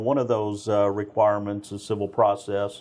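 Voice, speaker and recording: A man talks in an American accent. He keeps a moderate pace. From Texas (Spring, Houston area). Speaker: police constable. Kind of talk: interview.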